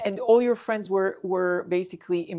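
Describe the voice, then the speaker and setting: This woman has an ordinary speaking voice with a fairly low pitch. Her intonation stays fairly even at a moderate pace. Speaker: interviewer, podcast host. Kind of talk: interview question.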